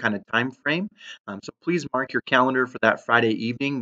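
The background stays quiet while a man talks. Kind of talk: announcement to community. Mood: earnest, apologetic but upbeat. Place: home room. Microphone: webcam.

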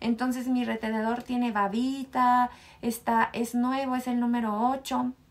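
A woman speaks with a fairly high pitch. Her pitch barely moves. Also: fairly slow pace.

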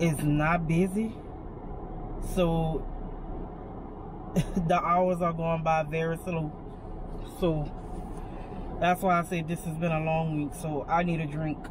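Over noticeable background noise, a woman speaks at a fairly slow pace. Her pitch is fairly low and her intonation monotone and flat. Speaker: vlogger waiting for a grocery pickup. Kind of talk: casual vlog chat. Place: car. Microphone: phone near.

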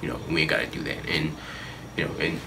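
A man with an American accent speaks over noticeable background noise. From Northern Virginia, US. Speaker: hip-hop artist. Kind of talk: interview. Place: home room.

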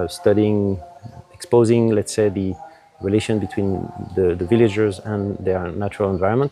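A man speaks at a moderate pace, his pitch fairly low with ordinary variation. The sound is dry with no echo, over light background noise. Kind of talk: interview answer. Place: garden. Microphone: lapel.

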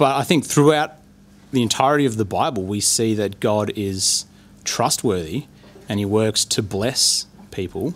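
This man has an Australian accent. His pitch sits fairly low. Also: lively intonation, moderate pace, very clean recording, silent background. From Australia, Bendigo. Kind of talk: personal testimony. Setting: live recording with audience at a university.

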